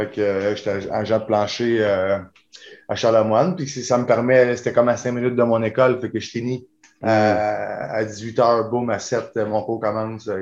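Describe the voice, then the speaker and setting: In a Quebec accent, a man speaks at a moderate pace with a medium pitch. His intonation is fairly even. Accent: Québécois French. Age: 40s. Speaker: kickboxer. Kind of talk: interview.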